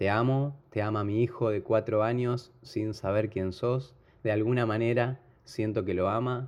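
With a Rioplatense accent, a man speaks fairly slowly at a medium pitch in a monotone, flat delivery. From Argentina, Buenos Aires. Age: 40s. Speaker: football fan. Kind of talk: emotional tribute. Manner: halting.

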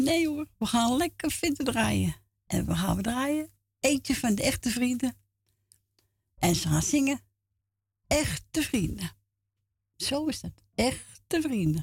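Her delivery comes very slowly. Long gaps break up her speech often. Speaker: radio presenter. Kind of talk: casual radio show with call-ins.

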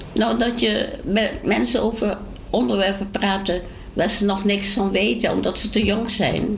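Amid noticeable background noise and audible room echo, a woman speaks fairly slowly in a medium pitch with very even loudness. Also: ordinary pitch variation. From Dutch East Indies (Indonesia), Dutch family. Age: 80s+. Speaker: elderly resident. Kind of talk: casual interview.

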